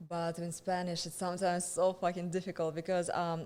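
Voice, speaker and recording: The speaker uses a Russian accent and a fairly quick pace. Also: woman. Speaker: stand-up comedian. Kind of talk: casual chat. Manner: halting.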